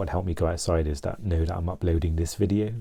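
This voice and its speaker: A soft-spoken man with a very deep, low pitch talks in a dark, mellow, somewhat breathy tone. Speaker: mental health vlogger. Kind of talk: personal vlog. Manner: halting, many fillers and restarts.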